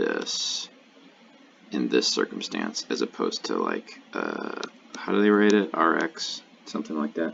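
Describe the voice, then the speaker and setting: A man mumbling over noticeable background noise. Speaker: LSAT tutor. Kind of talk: tutorial. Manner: halting.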